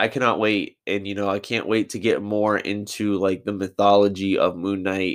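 An ordinary speaking voice from a man, fairly low in pitch, at a moderate pace against a quiet background. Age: 20s. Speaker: podcast host. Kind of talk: casual chat.

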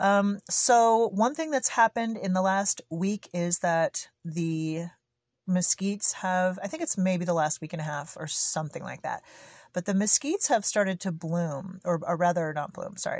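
A woman with a medium pitch talks at a moderate pace, somewhat breathy, with ordinary pitch variation. The recording is very clean with a silent background and a dry, close sound with no echo. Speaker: solo podcaster on homesteading. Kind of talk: casual monologue. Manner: spontaneous, unscripted.

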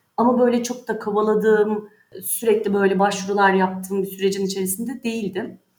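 At a fairly quick pace, a woman uses a normal speaking voice at medium pitch with fairly even intonation. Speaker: insurance specialist. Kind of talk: interview.

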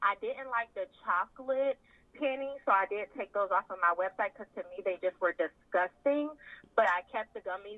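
The speaker is a woman. Her speech carries a Southern US accent. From US South, South Carolina. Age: 20s. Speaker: lingerie business owner. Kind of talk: casual chat.

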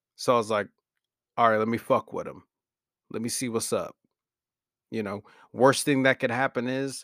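A man mumbles with a Southern US accent in a medium pitch. The very clean recording has a silent background and a dry, close sound with no echo. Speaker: podcaster. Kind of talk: casual monologue. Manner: mumbling.

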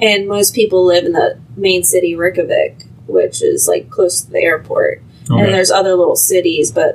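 A woman speaks at a moderate pace while noticeable background noise runs behind her. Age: 30s. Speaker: podcast guest. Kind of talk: casual chat.

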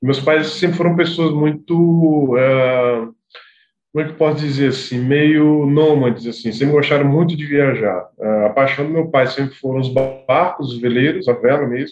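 Music plays in the background as a man talks at a moderate pace. His pitch is fairly high and his intonation fairly even. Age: 30s. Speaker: association executive. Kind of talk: casual interview chat.

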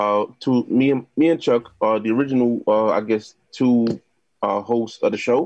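Speaking at a fairly slow pace in a New York accent, a man holds a medium pitch with fairly even intonation and very even loudness. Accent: New York City. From Queens, New York City. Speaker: DJ, producer and podcast host. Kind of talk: casual chat.

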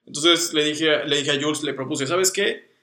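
Speaking with a Mexican accent, a man uses ordinary pitch variation. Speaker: designer, podcast co-host. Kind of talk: casual chat.

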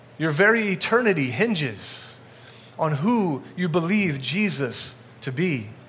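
A man with a high voice speaks at a fairly slow pace, his pitch swinging very widely over noticeable background noise. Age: 40s. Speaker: guest pastor. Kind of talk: sermon. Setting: church with congregation.

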